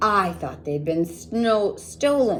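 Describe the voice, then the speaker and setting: A woman performs a put-on character voice over clear background noise. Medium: read story.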